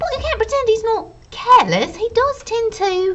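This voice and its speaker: A put-on character voice that sounds female comes out squeaky and extremely high-pitched, raised and projected. The pace is moderate. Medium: read story. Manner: brisk, clipped.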